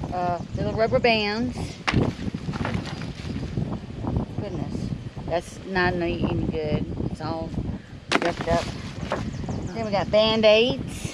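Loud background noise surrounds a woman who talks at a very slow pace with long, frequent pauses, in a dry sound with no echo. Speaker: dumpster diving vlogger. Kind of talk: casual vlog chat. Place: open country. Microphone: phone near.

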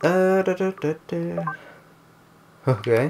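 There is noticeable background noise behind the voice. A man talks with a Scottish accent. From Scotland. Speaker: gaming YouTuber. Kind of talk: gameplay commentary. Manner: animated.

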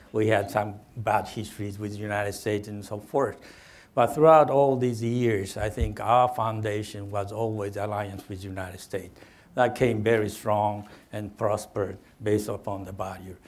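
At a moderate pace, a man with a Japanese accent talks at a fairly low pitch with fairly even intonation. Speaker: former diplomat, think tank head. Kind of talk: panel discussion. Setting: stage with audience. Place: hall. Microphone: lapel.

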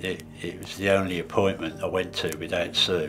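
A man talks in a very deep, low pitch. Music plays clearly in the background. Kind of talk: interview answer. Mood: reflective, serious personal story. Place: home room.

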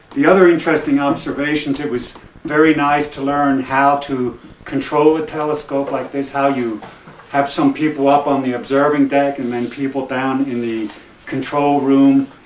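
Light background noise and audible room echo surround a man speaking at a moderate pace in a monotone, flat intonation. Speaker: guest. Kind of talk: interview answer. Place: home room. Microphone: old recording.

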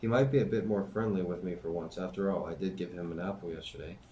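Someone speaks at a very fast pace with ordinary pitch variation over light background noise. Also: man. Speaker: YouTube channel host reading a book aloud. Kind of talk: reading aloud, diary reading. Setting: home-made video, amateur recording. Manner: conversational, casual commentary between readings, with filler words; plain, steady, unpracticed reading pace with hesitations and stumbles. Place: home room. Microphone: webcam.

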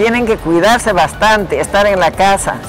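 A woman speaks at a medium pitch and moderate pace, her intonation fairly even. Clear music plays in the background, and the sound is dry with no echo. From Peru. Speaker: vaccinated senior citizen. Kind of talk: interview answer. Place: hall.

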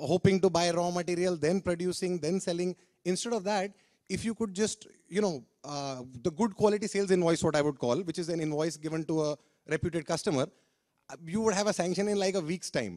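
This man has a dark, mellow tone and a high pitch, talking at a fairly quick pace with ordinary pitch variation against a quiet background. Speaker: speaker. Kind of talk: testimonial talk to audience. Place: stage. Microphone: handheld.

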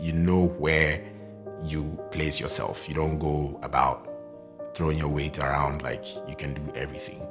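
Over clear background music, a man speaks at a moderate pace in a very deep, low voice. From Ghana. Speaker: freelance voice-over artist, photographer, YouTuber. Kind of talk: interview answer about personal experience. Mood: calm, reflective. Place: home room.

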